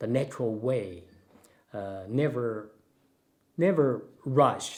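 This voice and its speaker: The man's intonation is lively and his pitch medium as he talks very slowly. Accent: Chinese. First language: Chinese. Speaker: Tai Chi and Taoism master. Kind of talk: casual Q&A chat. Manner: halting, with many fillers.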